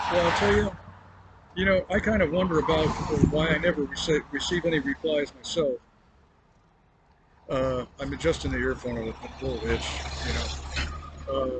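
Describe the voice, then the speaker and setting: With noticeable background noise, a man speaks at a moderate pace, leaving long, frequent pauses. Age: 60s. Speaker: roadside vlogger. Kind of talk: casual monologue to camera. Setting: outdoors by a roadside. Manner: halting, many fillers.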